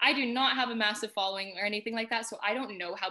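At a very fast pace, a woman with a Canadian accent talks in a bright, sharp tone at a medium pitch with ordinary pitch variation. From Canada. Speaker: food and travel content creator. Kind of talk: casual chat.

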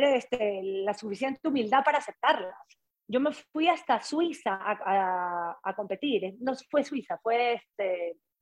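A woman with lively intonation. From coastal Ecuador, Guayaquil. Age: 40s. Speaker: former TV presenter, triathlete. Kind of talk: casual interview.

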